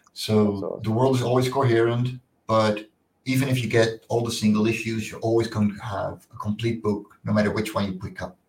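A man's medium-pitched, somewhat breathy voice with a Dutch accent, at a moderate pace, in a monotone, flat intonation. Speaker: comic book creator. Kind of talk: interview. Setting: video call.

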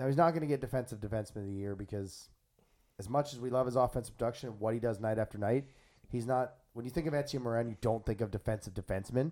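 The speaker has a Maritime Canadian accent. The pace is very fast, with ordinary pitch variation. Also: man, medium pitch for a man. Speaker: podcast host. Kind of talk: casual chat. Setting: studio.

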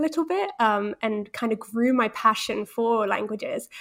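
Heard in a very clean recording with a silent background, a woman with a British accent talks at a moderate pace, her fairly high pitch showing ordinary variation. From Holland, British parents. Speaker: Spanish resources founder and mother. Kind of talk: interview conversation.

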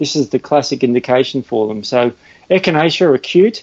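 Fairly quick pace from a man in an Australian accent. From Australia, Melbourne (Sandringham). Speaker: natural health educator. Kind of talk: interview.

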